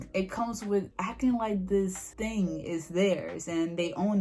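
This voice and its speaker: Ordinary pitch movement in a woman's speech, set against noticeable noise in the background. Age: 20s. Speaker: anime YouTuber. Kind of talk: casual talk to camera.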